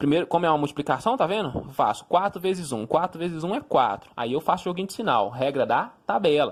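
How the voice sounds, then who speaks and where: At a moderate pace, a man with a high pitch speaks in an animated tone. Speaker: math teacher. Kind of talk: lecture.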